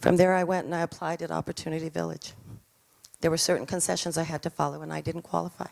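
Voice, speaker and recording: This is a woman speaking with a New Mexican accent. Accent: New Mexican American English. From New Mexico, Albuquerque South Valley. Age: 60s. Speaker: artist with homelessness experience. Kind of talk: personal testimony.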